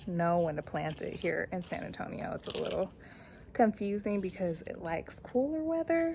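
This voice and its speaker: A woman talks at a moderate pace with a medium pitch. She has an ordinary speaking voice. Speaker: gardening youtuber. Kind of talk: casual vlog tutorial.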